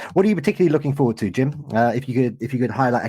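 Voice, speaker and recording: A dark, mellow tone in a British accent, with ordinary pitch variation, in a very clean recording with a silent background. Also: man. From Britain. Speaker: podcast host. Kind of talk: interview. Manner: animated.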